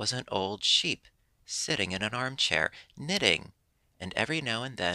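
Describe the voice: The speaker is doing plain reading aloud with lively intonation.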